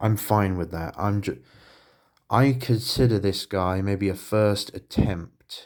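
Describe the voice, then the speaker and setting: At a very slow pace, a man with a Southern English accent talks at a fairly low pitch with ordinary pitch variation, in a very clean recording with a silent background. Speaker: hobbyist miniature painter. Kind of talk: casual vlog. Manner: audible breathing; halting.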